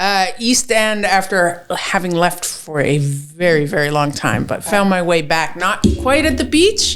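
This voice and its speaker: Against audible room echo, a woman with a Canadian accent and a fairly low pitch speaks at a fairly slow pace with hardly any pauses and lively intonation. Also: very even loudness. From Toronto, Canada. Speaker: chef and barbecue sauce business owner. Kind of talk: casual chat.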